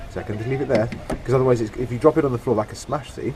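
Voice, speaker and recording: Noticeable background noise sits behind a man speaking at a medium pitch with fairly even intonation. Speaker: home mechanic. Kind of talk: tutorial talk to camera.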